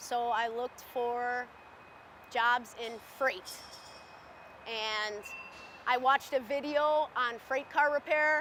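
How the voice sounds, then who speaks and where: Loud and high-pitched, a woman speaks at a very slow pace with fairly even intonation and long, frequent pauses. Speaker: railcar repair worker. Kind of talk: interview testimony.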